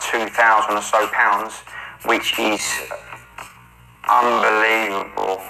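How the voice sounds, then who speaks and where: A man with a London accent at a medium pitch, flat and monotone, with audible room echo and music in the background. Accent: London accent, remarked on by commenters. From South London, England. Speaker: day trader and trading mentor. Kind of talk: trade walkthrough narration. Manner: hesitant, many 'um' fillers.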